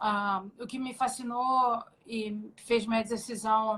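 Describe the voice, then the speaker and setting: Very slowly and in a flat, monotone way, a woman with a slight Rio de Janeiro accent speaks at a fairly high pitch. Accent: slight carioca. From Rio de Janeiro, Brazil (born in Minas Gerais). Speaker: jiu-jitsu athlete. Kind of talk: interview. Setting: live stream video call.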